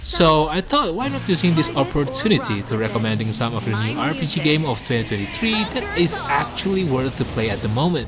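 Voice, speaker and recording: Over music in the background, a man speaks at a fairly quick pace and a fairly high pitch. His pitch swings very widely. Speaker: gaming video host. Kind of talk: game review narration.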